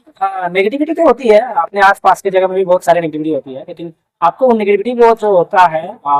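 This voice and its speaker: Recorded dry and close with no echo, a man with a high pitch speaks with lively intonation. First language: Kurmali (speaking Hindi). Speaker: newly appointed police officer, exam topper. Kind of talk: interview. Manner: hesitant with fillers.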